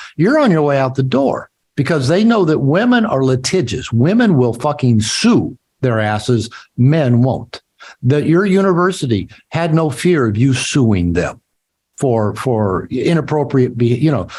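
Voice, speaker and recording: A somewhat breathy man with an American accent, very wide pitch swings and very even loudness. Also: medium pitch for a man, fairly slow pace. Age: 60s. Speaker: author and therapist. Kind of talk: interview.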